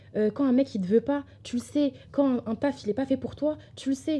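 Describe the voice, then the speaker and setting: Her voice has a dark, mellow tone and sounds somewhat breathy. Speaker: podcast host. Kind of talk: casual personal-development talk. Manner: hesitant, many fillers.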